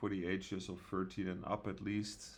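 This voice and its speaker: This man has a very deep, low pitch and talks at a fairly slow pace. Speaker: gaming youtuber and server owner. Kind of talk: casual gameplay commentary. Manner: soft-spoken; hesitant, many fillers.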